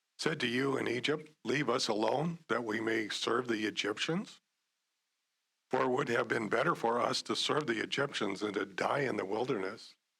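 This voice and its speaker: A man's put-on character voice, hoarse and raspy, medium in pitch, at a moderate pace with very even loudness. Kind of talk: preaching, quotation of scripture. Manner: reading scripture aloud.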